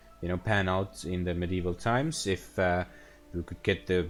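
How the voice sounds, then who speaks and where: Over music in the background, a man speaks at a fairly slow pace in a very deep, low voice with an Estonian accent and ordinary pitch variation. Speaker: gaming streamer. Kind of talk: live gameplay stream. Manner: hesitant, many fillers.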